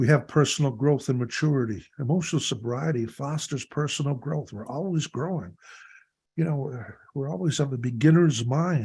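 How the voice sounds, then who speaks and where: A man with a Canadian accent, dark and mellow in tone and somewhat breathy, at a moderate pace on a very clean recording with a silent background. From Canada (Ontario). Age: 70s. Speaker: recovery workshop leader. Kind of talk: workshop talk.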